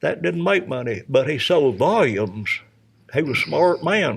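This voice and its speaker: A man's voice with vocal fry, in a Tennessee accent. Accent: US Southern, Tennessee. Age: 80s+. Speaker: retired race car driver. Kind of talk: interview. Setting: podcast recording at a vineyard.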